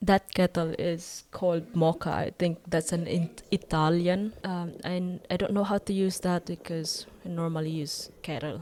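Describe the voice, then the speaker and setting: In a Filipino accent, a woman speaks at a fairly slow pace in a fairly low, dark, mellow voice with monotone, flat intonation, captured in a very clean recording with a silent background. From Philippines. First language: Tagalog. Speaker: vlogger. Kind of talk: vlog voiceover narration. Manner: hesitant.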